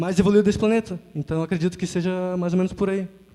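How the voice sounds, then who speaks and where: A man's high-pitched voice. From Porto Alegre, Brazil. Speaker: youth audience member. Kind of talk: audience comment.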